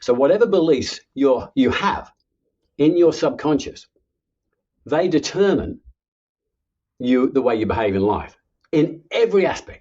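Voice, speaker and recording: A man's fairly high voice with very wide pitch swings, fairly slow pace and long, frequent pauses. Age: 70s. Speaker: author and subconscious reprogramming coach. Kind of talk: podcast interview.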